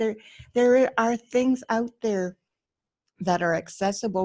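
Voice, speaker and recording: A woman talks at a moderate speed, her pitch varying in an ordinary way. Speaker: interview guest. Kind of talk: casual chat. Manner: shaky.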